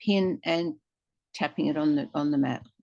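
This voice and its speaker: The sound is dry and close, without any echo. It is a woman who talks. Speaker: software demonstrator. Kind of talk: tutorial.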